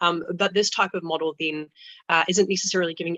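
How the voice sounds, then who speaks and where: Very fast and monotone, the speech comes in a New Zealand accent with flat intonation and a dry, close sound free of echo. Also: woman. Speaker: student union president. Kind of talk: panel discussion.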